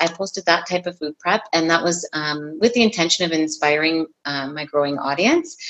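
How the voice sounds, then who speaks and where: A woman with a Canadian accent speaks at a moderate pace with hardly any pauses, her fairly low pitch showing ordinary variation in a plain, everyday voice. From Ontario, Canada. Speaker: fitness and nutrition coach. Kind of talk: casual interview.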